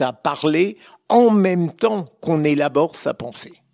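Very slowly and with lively intonation, a man speaks in a dry, close sound with no echo. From France, Lorraine (Metz). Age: 70s. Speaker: retired magistrate. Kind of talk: interview.

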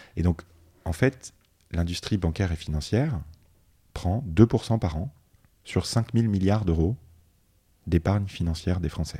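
In a very clean recording with a silent background, a man speaks very deep and low, somewhat breathy and dark, mellow in tone, at a fairly slow pace with long, frequent pauses. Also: ordinary pitch variation. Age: 30s. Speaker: finance executive. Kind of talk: interview.

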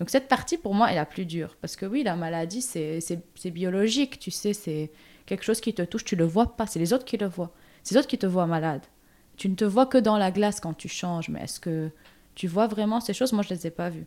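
A woman's dark, mellow voice at a medium pitch and a fairly quick pace. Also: ordinary pitch variation, very clean recording, silent background. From Lebanon. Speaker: comics artist. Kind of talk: interview.

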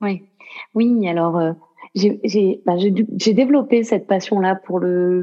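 A woman talks with ordinary pitch variation. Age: 30s. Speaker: yoga student and association president. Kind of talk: interview.

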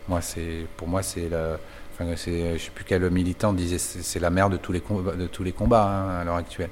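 Audible room echo carries a man's very deep, low voice as he speaks at a moderate pace with fairly even intonation. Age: 50s. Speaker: bicycle saddle maker. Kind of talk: interview. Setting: workshop. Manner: halting, many hesitations.

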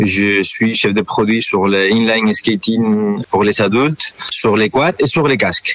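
A man with a Spanish accent at a very slow pace, with hardly any pauses, very even loudness and noticeable background noise. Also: medium pitch for a man, ordinary pitch variation, dry, close sound with no echo. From Spain. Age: 40s. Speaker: product manager. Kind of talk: interview. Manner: halting.

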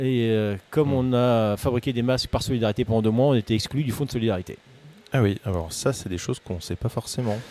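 A man with a dark, mellow tone speaks at a very fast pace, medium in pitch with ordinary pitch variation. The recording is very clean with a silent background. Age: 40s. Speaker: textile business owner. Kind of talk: interview. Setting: at his workshop.

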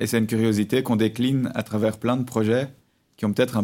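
On a very clean recording with a silent background, a man with a dark, mellow tone and medium pitch talks at a very fast pace in a monotone, flat intonation. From Belgium, Brussels. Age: 30s. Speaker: architect, collective co-founder. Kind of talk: interview.

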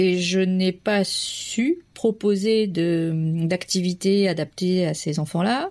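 A woman's voice sits in the middle pitch range. It rises and falls in a normal way. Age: 30s. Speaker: primary school teacher. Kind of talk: testimony. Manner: halting.

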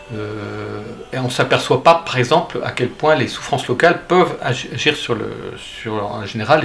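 A man speaks at a medium pitch with ordinary pitch variation over noticeable background noise. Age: 60s. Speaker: pilgrim and author. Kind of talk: interview. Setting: at his home. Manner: halting.

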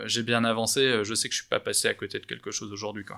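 A man speaks at a medium pitch with vocal fry. The recording is very clean, with a silent background. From France, Bordeaux. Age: 30s. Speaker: startup founder in commercial real estate. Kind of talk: interview. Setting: office.

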